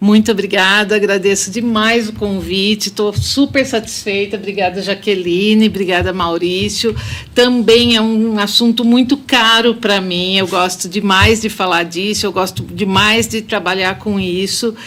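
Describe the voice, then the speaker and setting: A woman with a São Paulo interior accent at a fairly slow pace, with hardly any pauses. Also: medium pitch for a woman, fairly even intonation. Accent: caipira (São Paulo interior). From Brazil, Limeira (São Paulo interior). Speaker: architect. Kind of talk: podcast interview.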